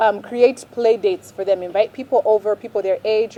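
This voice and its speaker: A woman with an unremarkable speaking voice, fairly high in pitch, at a moderate pace. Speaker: parenting vlogger. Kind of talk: advice talk to camera.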